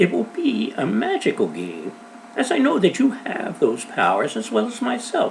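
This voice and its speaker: A man speaks in a put-on character voice over clear background noise. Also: moderate pace. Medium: read story. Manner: cheerful, assured.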